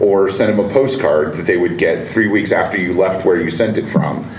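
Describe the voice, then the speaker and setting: A man speaks at a fairly low pitch with ordinary pitch variation. Audible room echo and noticeable background noise fill the recording. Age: 40s. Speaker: podcast host. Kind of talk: casual interview. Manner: halting, many fillers.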